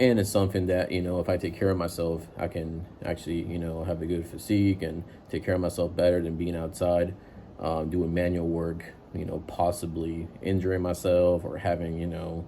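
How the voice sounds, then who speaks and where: In a dark, mellow tone, a man speaks at a moderate pace with very deep, low pitch and monotone, flat intonation. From immigrant to the US at age seven from a developing country. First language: not English. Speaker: IT worker giving career advice. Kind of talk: casual advice monologue. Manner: casual, many filler words.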